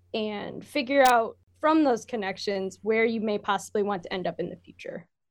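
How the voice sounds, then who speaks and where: This woman has a plain, everyday voice with an American accent and fairly high pitch. She moves at a fairly quick pace with ordinary pitch variation. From Michigan, US. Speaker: university student and intern. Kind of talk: casual interview.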